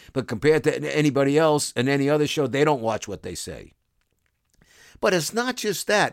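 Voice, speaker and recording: On a very clean recording with a silent background, a man with a Brooklyn accent and a fairly high voice talks at a fairly quick pace, animated in tone with lively intonation. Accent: New York (Brooklyn). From New York City, Brooklyn. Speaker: sports broadcaster and podcast host. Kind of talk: casual monologue podcast.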